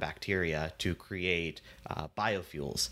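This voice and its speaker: With an American accent, this man's very deep, low voice has a bright, sharp tone and fairly even intonation. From US Pacific Northwest, Seattle. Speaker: startup founder and CEO. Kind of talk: interview. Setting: remote call.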